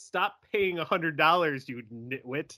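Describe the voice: A man puts on a character voice, pitched fairly high. The recording is very clean, with a silent background.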